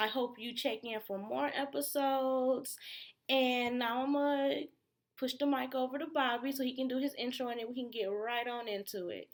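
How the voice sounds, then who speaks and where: On a very clean recording with a silent background, a woman speaks at a moderate pace in a high pitch with fairly even intonation. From Detroit, Michigan. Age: 30s. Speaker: podcast co-host. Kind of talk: casual chat.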